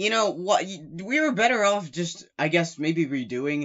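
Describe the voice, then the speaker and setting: With very wide pitch swings, a man talks at a moderate pace. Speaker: gaming commentator. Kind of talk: casual gaming commentary. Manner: stuttering, hesitant.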